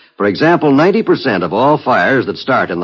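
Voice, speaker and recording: Here a man speaks at a moderate pace with a fairly high pitch and vocal fry. His pitch swings very widely. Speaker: radio announcer. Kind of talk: 1950s radio announcer, commercial and public service copy. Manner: formal, brisk, authoritative.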